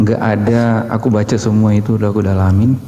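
The speaker is a man. He talks with flat, monotone intonation. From Manado, Indonesia; Indonesia. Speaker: questioner from audience; questioner. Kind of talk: heated debate. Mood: polite, apologetic, earnest. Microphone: video call.

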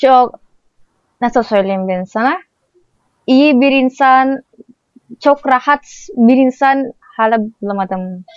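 A woman with an Indonesian accent speaks very slowly at a high pitch, with ordinary pitch variation. Her long, frequent pauses come through in a dry, close sound with no echo. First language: Indonesian (speaking Turkish). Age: 20s. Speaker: vlogger. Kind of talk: casual chat; sales pitch.

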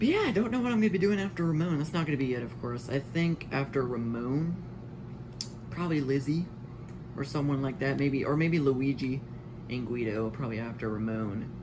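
The speech moves at a fairly quick pace, with noticeable background noise. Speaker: gamer. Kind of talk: casual gameplay commentary. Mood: annoyed then amused. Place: home room. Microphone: phone near.

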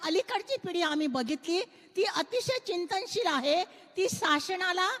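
With an extremely high pitch and lively intonation, a woman speaks in a dry, close sound with no echo. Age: 50s. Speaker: writer and social activist. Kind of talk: panel discussion. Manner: outspoken, direct.

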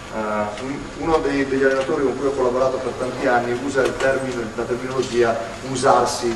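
There is noticeable background noise and audible room echo as a man talks at a moderate pace. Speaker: basketball coach giving a clinic. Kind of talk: lecture. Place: hall.

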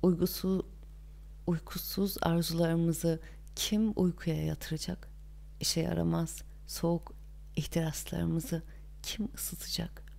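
A woman speaks at a very slow pace. Long, frequent pauses break up her speech. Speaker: audiobook narrator. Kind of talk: reading aloud.

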